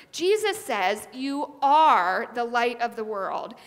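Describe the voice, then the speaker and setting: A woman's high-pitched voice rises and falls with lively intonation. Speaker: preacher. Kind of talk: sermon. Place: church. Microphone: headset.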